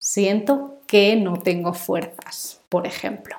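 A woman's medium-pitched voice unfolds very slowly. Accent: Spanish. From Spain. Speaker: Spanish teacher. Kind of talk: language lesson. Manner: slow, clear.

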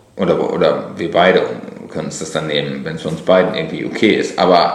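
Audible room echo hangs around the man's voice. He moves at a fairly quick pace. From Lower Rhine, western Germany. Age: 40s. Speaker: blogger and author. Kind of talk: casual chat. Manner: hesitant, many fillers.

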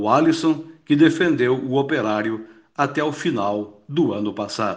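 This man's pitch is fairly high. He talks at a very slow pace. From Paraná, Brazil (Palmeira). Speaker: radio football narrator. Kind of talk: recorded storytelling segment.

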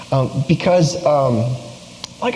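Quiet speech from a man comes through noticeable background noise and audible room echo. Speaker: youth pastor. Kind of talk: sermon.

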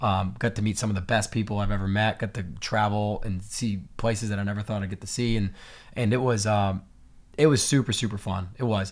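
In a plain, everyday voice, a man speaks at a fairly low pitch and fairly quick pace with fairly even intonation, on a very clean recording with a silent background. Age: 30s. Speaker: laser engraving business owner, former pro BMX rider. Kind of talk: casual interview chat.

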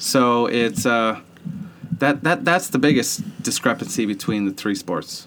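This man speaks with a Boston accent at a fairly slow pace, his medium pitch swinging very widely. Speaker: sports podcast co-host. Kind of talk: casual chat.

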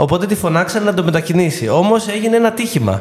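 Over noticeable background noise, a man speaks in a high voice with lively intonation. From Greece, Ilia (western Peloponnese). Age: 40s. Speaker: actor and theatre director. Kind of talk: casual interview. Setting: studio.

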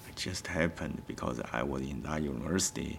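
Against noticeable background noise, a man with a Chinese accent speaks at a moderate pace with ordinary pitch variation. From China. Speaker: artist. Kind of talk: interview.

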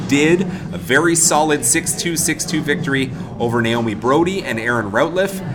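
Over music in the background, a man with a fairly high pitch speaks with lively intonation, and room echo is audible. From Vancouver, Canada. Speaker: tournament media manager and podcast host. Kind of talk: casual interview and podcast narration. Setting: restaurant at a country club.

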